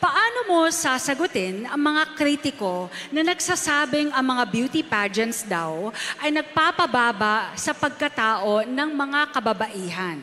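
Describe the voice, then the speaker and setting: In a Filipino accent, a woman uses a raised, projected voice at a high pitch with very wide pitch swings, talking at a fairly slow pace with hardly any pauses over noticeable background noise. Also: very even loudness. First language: Tagalog. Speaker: event host. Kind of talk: pageant hosting on stage. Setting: PA system.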